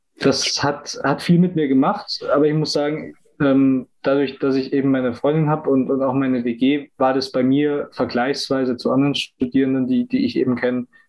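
Speaking at a moderate pace with hardly any pauses, a man uses a fairly high pitch, fairly even intonation and very even loudness. He has an unremarkable speaking voice. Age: 20s. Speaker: business student and agile coach. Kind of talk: casual interview chat.

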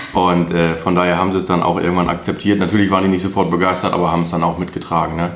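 Amid noticeable background noise and audible room echo, a man with a very deep, low pitch talks very fast in a flat monotone, with hardly any pauses. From Münsterland, north-west Germany. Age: 20s. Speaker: truck driver. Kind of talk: interview.

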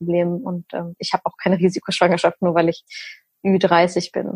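A woman speaks in a fairly low, somewhat breathy voice with monotone, flat intonation at a moderate pace. The sound is dry and close with no echo. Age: 30s. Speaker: nutrition and hormone coach, recovered anorexia patient. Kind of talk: casual interview.

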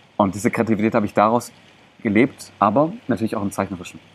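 Animated in tone, a man speaks at a very fast pace. His pitch is fairly low. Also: long, frequent pauses. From Germany, Greek parents. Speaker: mental coach and body language coach. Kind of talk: interview. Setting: outdoors in a park.

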